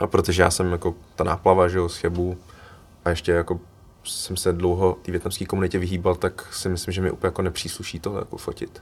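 This man talks at a fairly quick pace in a very deep, low pitch. His intonation stays monotone and flat. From Czech Republic, Cheb, Vietnamese parents. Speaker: photographer and student. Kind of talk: casual chat.

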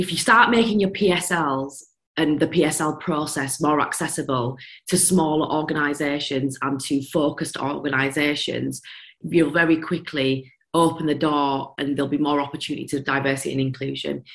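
A woman with a Yorkshire accent speaks at a very deep, low pitch. Her intonation is fairly even, and the background is quiet. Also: moderate pace. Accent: broad Yorkshire. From Yorkshire, England. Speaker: business founder, former teacher. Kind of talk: casual interview chat.

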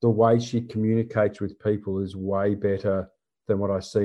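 A man with an Australian accent speaks at a fairly low pitch, his intonation monotone and flat. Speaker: disaster resilience consultant. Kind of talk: interview. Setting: remote call.

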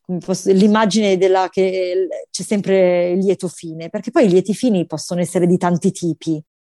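Speaking at a fairly quick pace, the voice has a dark, mellow tone, heard over a quiet background with a dry, close sound and no echo. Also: woman. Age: 40s. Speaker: bank employee sharing motherhood story. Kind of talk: personal testimony. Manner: animated.

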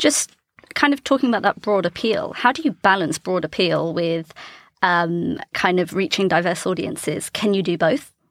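With lively intonation and an ordinary speaking voice, a woman talks at a moderate pace in a dry, close sound with no echo. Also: medium pitch for a woman. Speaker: podcast host, advertising professional. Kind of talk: casual interview chat.

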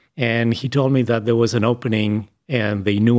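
A man with an Argentine accent at a moderate pace. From Argentina, Buenos Aires. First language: Spanish. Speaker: speech scientist. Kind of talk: interview.

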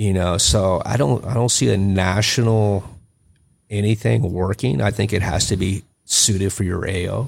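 In an American accent, a man talks at a fairly low pitch with vocal fry. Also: ordinary pitch variation, moderate pace. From Texas. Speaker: combatives instructor, retired police officer and Marine. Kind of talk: casual chat. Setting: studio.

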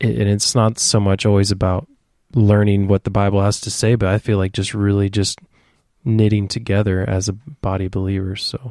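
A man speaks at a fairly quick pace with a fairly low pitch, a dark, mellow tone and fairly even intonation. The recording is very clean with a silent background and a dry, close sound with no echo. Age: 30s. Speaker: worship leader. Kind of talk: interview. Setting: studio.

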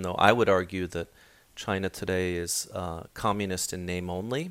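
A man with an American accent and a very deep, low pitch at a moderate pace, on a very clean recording with a silent background. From raised in Hong Kong, Washington DC, Tokyo and Beijing. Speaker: professor of Chinese politics. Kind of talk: interview. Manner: hesitant, many fillers.

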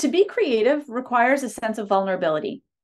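A woman speaks at a high pitch. She has a Canadian accent. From Canada, Ontario small town. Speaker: entrepreneur and author. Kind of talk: interview.

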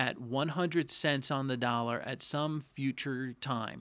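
Against a quiet background, a man speaks very slowly at a fairly high pitch. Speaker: financial advisor podcast host. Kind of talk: informational Q&A discussion. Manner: explanatory, conversational.

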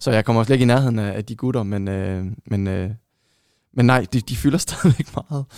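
A man with a normal speaking voice, medium pitch and ordinary pitch variation, at a fairly quick pace, in a dry, close sound with no echo. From Denmark, Vejle. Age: 30s. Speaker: football shirt collector. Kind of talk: casual chat.

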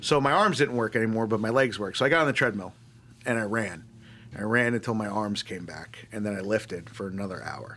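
A man talks at a very fast pace in a New York accent, his pitch medium. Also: ordinary pitch variation. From New York (Long Island, upstate). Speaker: army veteran. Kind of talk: interview.

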